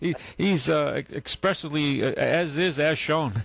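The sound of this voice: A man talks at a slow pace. Vocal fry runs through his voice. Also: fairly high pitch for a man, ordinary pitch variation, fairly bright tone.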